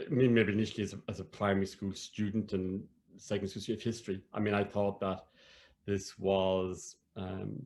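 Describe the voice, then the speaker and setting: A man speaks in a southern Irish accent at a fairly low pitch, his intonation monotone and flat. The recording is very clean, with a silent background. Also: fairly quick pace. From Ireland, County Cork. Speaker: academic and storyteller. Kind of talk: interview conversation. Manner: halting.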